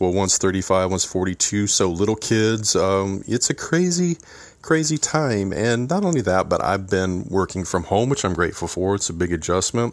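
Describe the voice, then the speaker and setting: A man's fairly low voice at a moderate pace, with ordinary pitch variation, on a very clean recording with a silent background. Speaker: podcast host and mentor to young men. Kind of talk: solo podcast monologue. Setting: home, seated with coffee. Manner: casual, conversational.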